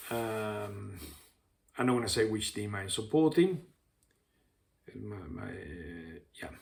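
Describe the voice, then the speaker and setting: Very slow and full of long, frequent pauses, a man's somewhat breathy, fairly low voice carries lively intonation and big swings in loudness. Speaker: football coach and YouTuber. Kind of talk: casual monologue vlog. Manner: hesitant, many fillers.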